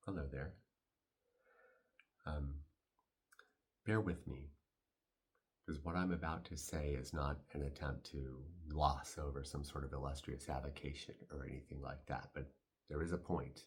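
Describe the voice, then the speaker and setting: Very deep, low male voice with vocal fry, fairly even intonation, a fairly slow pace and long, frequent pauses. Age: 60s. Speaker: stage actor. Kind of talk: casual reflective talk to camera.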